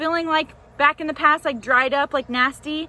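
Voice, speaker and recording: A woman talks at a fairly quick pace in a raised, projected voice. Her tone is bright and sharp, with a high pitch. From US South, Nashville. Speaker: life coach. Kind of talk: motivational vlog talk. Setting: outdoors in a garden. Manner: loud; animated.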